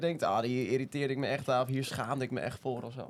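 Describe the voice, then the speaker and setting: A man talks at a very fast pace. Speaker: youth media editor. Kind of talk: casual chat.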